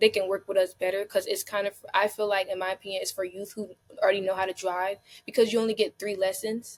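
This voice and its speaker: A woman's medium-pitched voice with an American accent, fairly quick, in a dry, close sound with no echo. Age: 20s. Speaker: foster care advocate. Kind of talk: interview answer.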